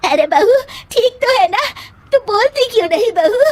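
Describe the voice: A woman's cartoonish character voice at an extremely high pitch, with very wide pitch swings, very even loudness, a moderate pace and a dry, close sound with no echo.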